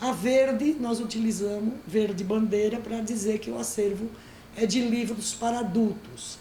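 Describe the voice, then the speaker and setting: Noticeable background noise and audible room echo surround a woman speaking at a fairly slow pace. Her pitch is fairly high and her intonation fairly even. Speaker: librarian teaching an online course. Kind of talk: lecture.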